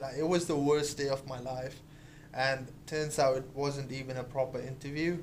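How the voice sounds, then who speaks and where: Through noticeable background noise, a man with a fairly high pitch speaks at a moderate pace in a monotone, flat way. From India. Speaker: podcast co-host. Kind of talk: casual chat.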